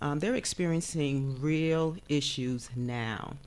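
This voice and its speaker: A woman with an American accent speaks in a very deep, low pitch. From New York, South Bronx. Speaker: counseling professor. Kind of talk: TV talk show interview. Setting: TV studio. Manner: many filler sounds (um, uh).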